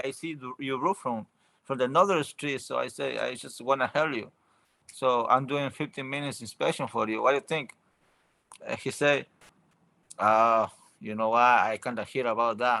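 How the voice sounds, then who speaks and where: A man with a medium pitch speaks at a moderate pace in a bright, sharp tone, using ordinary pitch variation and long, frequent pauses, on a very clean recording with a silent background. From Ecuador. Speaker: roofing business owner. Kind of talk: interview. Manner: halting.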